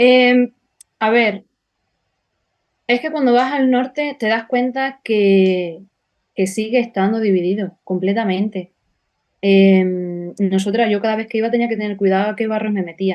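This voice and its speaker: Pausing long and often, a woman with a fairly high pitch speaks at a fairly slow pace with ordinary pitch variation. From Extremadura, Spain. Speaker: political activist. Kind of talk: interview.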